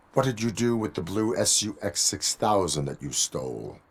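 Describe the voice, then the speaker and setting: At a moderate pace, a man uses a put-on character voice pitched fairly low. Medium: video game. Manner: flat, robotic, formal.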